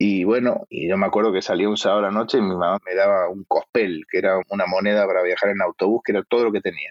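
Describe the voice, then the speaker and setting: The delivery is very fast with hardly any pauses and a monotone, flat intonation. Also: man, fairly low pitch for a man. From Argentina. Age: 40s. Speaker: actor. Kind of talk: casual interview chat.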